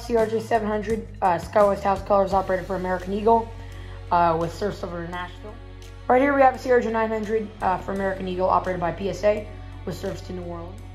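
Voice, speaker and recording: With faint music behind her, a woman speaks at a fairly quick pace. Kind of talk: casual tour commentary. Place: home room. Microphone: phone near.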